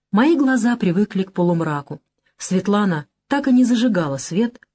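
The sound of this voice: Lively intonation in an unforced reading voice, quiet background behind it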